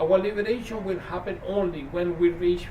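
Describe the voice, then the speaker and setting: A high-pitched man speaks at a moderate pace, with audible room echo and noticeable background noise. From Chile. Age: 60s. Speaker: activist. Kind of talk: prepared speech.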